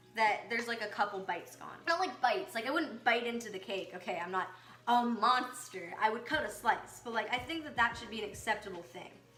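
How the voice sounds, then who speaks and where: A woman with a fairly high pitch speaks at a fairly quick pace with lively intonation and big swings in loudness, in a room with audible echo and noticeable background noise. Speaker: amateur baking vlogger. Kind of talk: casual baking tutorial vlog. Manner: rising questioning intonation; hesitant, filler-heavy.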